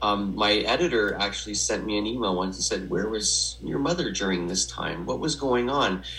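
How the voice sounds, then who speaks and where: With a Canadian accent, a man talks at a moderate pace with a fairly low pitch, very wide pitch swings and hardly any pauses, amid audible room echo and noticeable background noise. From Western Canada (Edmonton, Alberta). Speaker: memoir author in recovery. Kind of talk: personal testimony interview. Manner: halting, many fillers.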